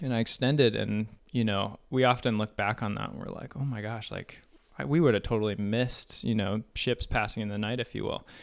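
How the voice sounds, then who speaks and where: With a General American accent and vocal fry, a man speaks at a fairly quick pace and medium pitch with ordinary pitch variation on a very clean recording with a silent background. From Colorado, US. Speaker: married couple guest, military officer. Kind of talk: casual interview chat. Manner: relaxed, hesitant with fillers.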